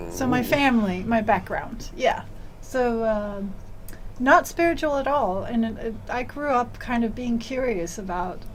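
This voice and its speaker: Amid noticeable background noise and audible room echo, a woman speaks at a fairly high pitch and a fairly slow pace with ordinary pitch variation. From Denmark. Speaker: author and tantra teacher. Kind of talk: interview.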